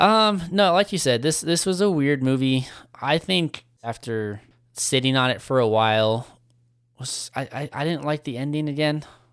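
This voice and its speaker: A man with a plain, everyday voice speaks at a moderate pace with a fairly high pitch and lively intonation, recorded very cleanly against a silent background. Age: 20s. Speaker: movie podcast co-host. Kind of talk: casual chat.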